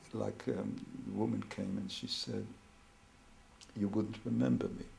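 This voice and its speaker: A noticeable echo from the room can be heard. The delivery is on the slow side. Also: man. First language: Hebrew or other non-English. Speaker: family therapist. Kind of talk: interview. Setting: therapy room. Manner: halting.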